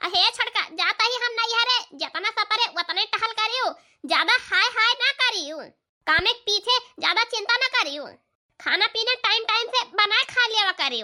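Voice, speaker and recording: Using a cartoonish character voice, a woman speaks at a moderate pace in an extremely high, squeaky tone with ordinary pitch variation. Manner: warm, motherly.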